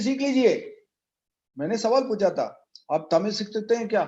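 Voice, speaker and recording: This man has a high pitch with ordinary pitch variation. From Tamil Nadu, South India. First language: Tamil (speaking Hindi). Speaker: network marketing leader. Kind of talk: motivational speech.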